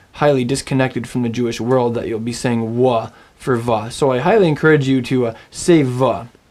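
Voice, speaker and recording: The speaker talks at a moderate pace with a Canadian accent. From Canada. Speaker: Hebrew language teacher. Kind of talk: recorded language lesson. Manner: casual, instructive.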